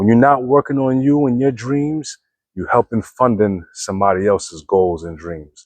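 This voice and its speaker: With an American accent, a man talks at a moderate pace and medium pitch, his intonation lively against a quiet background. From Brooklyn, New York. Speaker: motivational vlogger. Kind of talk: motivational monologue. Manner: stumbling over words.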